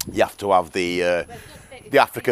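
A man's fairly quick speech in a British accent, with noticeable background noise. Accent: British English, informal regional. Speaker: motorcycle vlogger. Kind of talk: casual vlog chat. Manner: casual, chatty.

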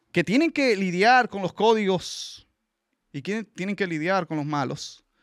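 A man's fairly slow delivery with lively intonation, a dry sound with no echo, and a quiet background. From Venezuela. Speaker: panelist. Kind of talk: casual chat. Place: studio. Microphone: studio mic.

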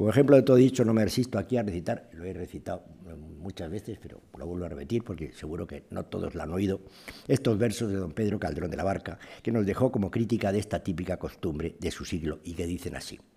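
A man talks at a very fast clip with lively intonation and big swings in loudness. His pitch is very deep and low, his tone dark and mellow, and his voice somewhat breathy. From Spain. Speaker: historian giving a lecture. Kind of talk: lecture. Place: hall. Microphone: podium.

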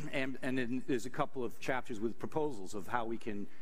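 A man talks with fairly even intonation. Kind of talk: lecture. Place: hall.

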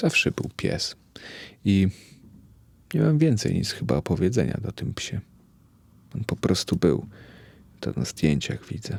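In a dry, close recording with no echo, a man with a fairly low, fry-tinged voice swings very widely in pitch and takes long, frequent pauses. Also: fairly slow pace. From Poland, Białystok. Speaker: podcaster. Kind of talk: personal monologue. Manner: reflective.

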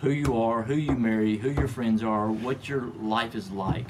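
A man speaks at medium pitch with ordinary pitch variation and a fairly slow pace. Noticeable background noise runs underneath. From Tennessee (Gallatin, near Nashville); Tennessee. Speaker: manufacturing executive; podcast guest. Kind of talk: interview. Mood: warm, reflective. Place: studio. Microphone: studio mic.

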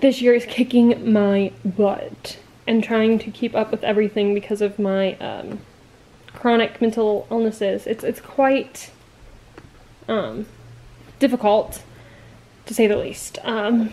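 A woman reads at a fairly slow pace in a monotone, flat intonation. Long, frequent pauses break up her speech over light background noise. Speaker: vlogger. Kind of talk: casual vlog chat. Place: home room. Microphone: webcam.

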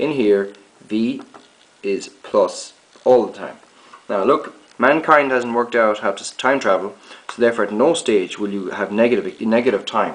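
With audible room echo around him, a man talks at a moderate pace in a fairly low pitch with ordinary pitch variation.

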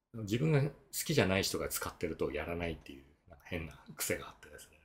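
With very wide pitch swings, a man talks at a fairly quick pace in a somewhat breathy voice. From Japan, Miyazaki; Japan. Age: 50s. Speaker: tax accountant and efficiency consultant; blogger. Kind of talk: solo video talk; explanatory talk, casual lecture. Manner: casual, filler-heavy. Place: home room.

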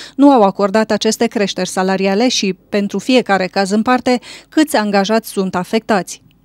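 A woman's ordinary speaking voice, fairly even in intonation and moderate in pace, in dry, close sound with no echo. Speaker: news reporter. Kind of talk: news reading, scripted report. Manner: formal, even.

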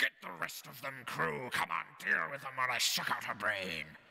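A man puts on a character voice, pitched at medium, and talks at a moderate pace. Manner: muttered from the side of the mouth; commanding.

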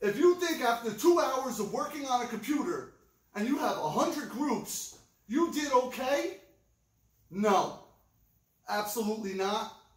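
Audible room echo surrounds a man whose extremely high voice, lively intonation and fairly slow pace are interrupted by long, frequent pauses. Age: 40s. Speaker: record store video host. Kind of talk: casual chat. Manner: animated. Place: shop. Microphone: camera far.

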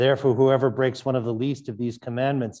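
Dark, mellow tone from a man, quiet background behind. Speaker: priest. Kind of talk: liturgy. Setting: church. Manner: formal. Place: church.

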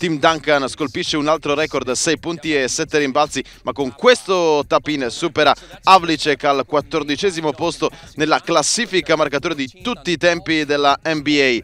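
This man's voice sits fairly high and has a bright, sharp tone. He keeps a moderate pace, and the sound is dry and close with no echo. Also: ordinary pitch variation. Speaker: sports commentator. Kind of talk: sports commentary voiceover over game highlights. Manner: animated, punchy, excited at big plays.

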